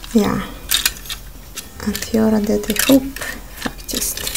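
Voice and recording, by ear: A woman's medium-pitched voice with vocal fry and a slightly mellow tone, over faint background noise. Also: fairly even intonation.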